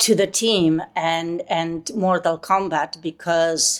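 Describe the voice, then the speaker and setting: A woman with a Polish accent at a very slow pace, music in the background. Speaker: voice actress. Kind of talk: interview. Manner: halting.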